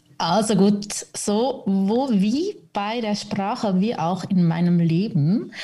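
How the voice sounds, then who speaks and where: Speaking at a very slow pace, a woman uses a somewhat breathy, fairly high voice with lively intonation. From Switzerland, Zürich. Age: 30s. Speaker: podcast guest, mother in recovery from alcohol. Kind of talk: casual interview chat.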